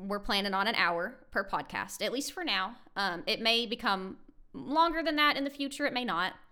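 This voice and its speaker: This woman's fairly high voice has a bright, sharp tone and very wide pitch swings, delivered at a moderate pace. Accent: American. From United States. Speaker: podcast co-host. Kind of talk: casual chat.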